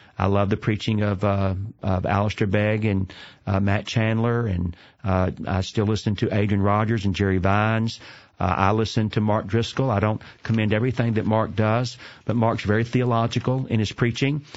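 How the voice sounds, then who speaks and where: In a Southern US accent, a man talks at a moderate pace with a fairly low pitch. His intonation is flat and monotone, and his loudness stays very even. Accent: Southern American. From US South, Atlanta, Georgia. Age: 50s. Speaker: seminary president and preacher. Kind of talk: interview. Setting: studio.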